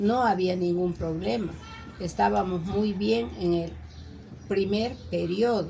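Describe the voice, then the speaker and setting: A woman's medium-pitched voice at a very slow pace, lively intonation, very even loudness, long and frequent pauses, and audible room echo. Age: 70s. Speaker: interviewee, neighbor. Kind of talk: interview.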